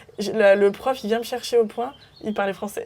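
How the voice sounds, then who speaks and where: A woman's fairly high voice at a very fast pace, the intonation fairly even. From France, Burgundy near Mâcon. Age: 20s. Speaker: podcast guest sharing life story. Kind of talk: interview testimony. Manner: hesitant, many fillers.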